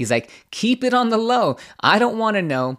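A man talks with very wide pitch swings. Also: very clean recording, silent background. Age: 40s. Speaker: podcast host. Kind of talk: casual chat.

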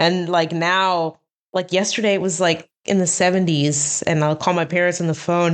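Here is a woman with an American accent and a fairly low pitch. She keeps a moderate pace and a monotone, flat intonation. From New Jersey. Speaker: animation prop designer. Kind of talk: interview. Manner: hesitant, filler-heavy.

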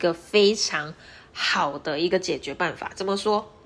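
Her pitch sits in the middle of the range. This is a woman talking. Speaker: podcast host, nurse and entrepreneur. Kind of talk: solo podcast monologue. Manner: casual, conversational.

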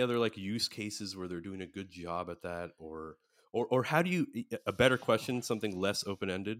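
A man with an American accent uses an ordinary speaking voice, fairly low in pitch with ordinary pitch variation, at a moderate pace, captured on a very clean recording with a silent background and a dry, close sound with no echo. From USA. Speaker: podcast host. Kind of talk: casual chat.

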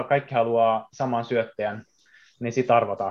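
With a quiet background, a man talks at a fairly slow pace and medium pitch in monotone, flat intonation. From Japan. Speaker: baseball player. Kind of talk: casual chat.

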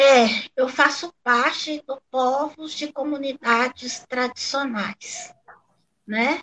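This woman's pitch is high. She talks very slowly with fairly even intonation. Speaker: guest, Afro-Brazilian religion follower. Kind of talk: panel discussion.

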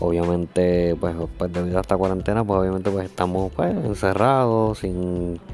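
The voice has a Puerto Rican accent. Its intonation stays fairly even. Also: man. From Puerto Rico. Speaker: podcaster and amateur musician. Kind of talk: casual monologue. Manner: halting, many fillers.

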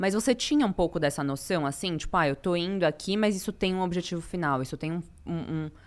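A woman talks very fast in a fairly low voice with ordinary pitch variation. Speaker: podcast host. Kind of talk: casual chat.

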